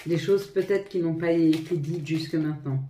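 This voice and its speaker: With audible room echo, a woman speaks in a fairly low pitch with ordinary pitch variation. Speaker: tarot reader. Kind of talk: tarot reading to viewers. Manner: halting, stumbling.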